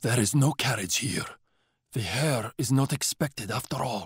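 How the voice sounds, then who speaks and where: Using a put-on character voice, a raspy man of medium pitch speaks at a moderate pace with ordinary pitch variation. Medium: read story. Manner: grim, terse.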